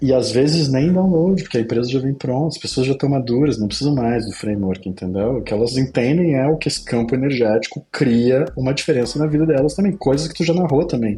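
A man's medium-pitched voice at a very fast pace, hardly any pauses, over noticeable background noise. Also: ordinary pitch variation. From southern Brazil, Pelotas, Rio Grande do Sul. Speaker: agency CEO and entrepreneur. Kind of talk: casual interview.

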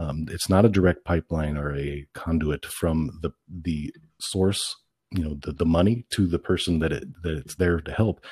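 At a moderate pace, a man with a very deep, low pitch sounds somewhat breathy, with ordinary pitch variation in a dry, close sound with no echo. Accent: Midwestern US. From central Illinois. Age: 40s. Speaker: political candidate. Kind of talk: interview.

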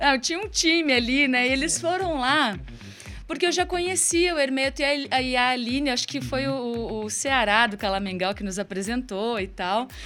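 A woman's high-pitched voice at a moderate pace with lively intonation, music in the background. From Curitiba, Brazil. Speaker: singer and songwriter. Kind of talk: live radio interview. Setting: radio studio.

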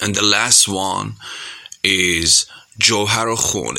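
This man talks very slowly in a fairly low pitch. His intonation stays fairly even. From Iran. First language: Persian (speaking Spanish). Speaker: singer. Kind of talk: recorded message to radio.

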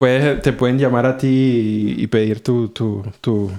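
Over a quiet background, a man's voice carries a dark, mellow tone. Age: 40s. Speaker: podcast host. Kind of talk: casual chat.

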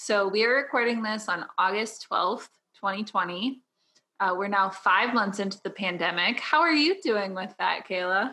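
On a very clean recording with a silent background, a woman speaks at a moderate pace in a bright, sharp tone, her medium pitch showing ordinary variation. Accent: Midwestern American. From Southern Illinois. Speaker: podcast host, graphic designer. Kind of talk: casual chat.

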